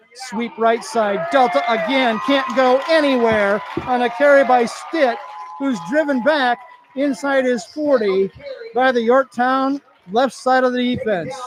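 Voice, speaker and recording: Over music in the background, a man with an extremely high pitch speaks at a fairly slow pace with ordinary pitch variation. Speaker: play-by-play announcer. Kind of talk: live commentary. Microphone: muffled through mask.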